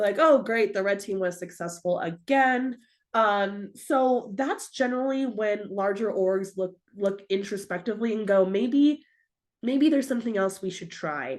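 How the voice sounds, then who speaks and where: Lively intonation over a quiet background. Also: woman, medium pitch for a woman. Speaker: cybersecurity speaker. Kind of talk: virtual presentation. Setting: video call. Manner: fast; casual.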